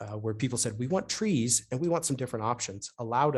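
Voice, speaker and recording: The background is quiet. A man speaks in a somewhat breathy voice. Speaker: urban planning consultant. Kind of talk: webinar presentation. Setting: online webinar. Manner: fast.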